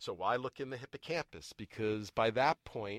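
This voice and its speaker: In a very clean recording with a silent background and a dry, close sound with no echo, a man with an American accent speaks in a normal speaking voice. His pitch is medium, with ordinary pitch variation at a fairly slow pace. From US Northeast, Boston area. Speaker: neuroscience professor. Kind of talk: casual interview.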